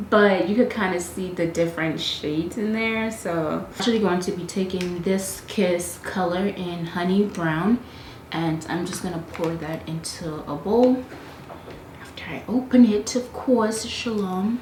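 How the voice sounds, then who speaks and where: Soft-spoken and at medium pitch, a woman talks at a fairly slow pace with ordinary pitch variation and big swings in loudness, amid noticeable background noise and audible room echo. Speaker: beauty youtuber. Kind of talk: tutorial voiceover. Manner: casual, filler-heavy.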